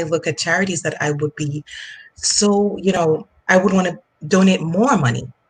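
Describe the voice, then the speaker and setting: The speaker has a Jamaican accent and a somewhat breathy voice. Pitch moves in an ordinary way. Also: woman. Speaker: finance coach. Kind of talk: interview. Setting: online live stream. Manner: hesitant, many fillers.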